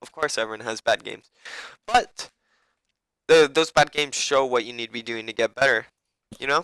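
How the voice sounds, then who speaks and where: In a bright, sharp tone, a man talks at a medium pitch and fairly quick pace, with long, frequent pauses. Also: ordinary pitch variation. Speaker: gaming coach. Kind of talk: casual game review tutorial. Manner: casual, rambling with fillers.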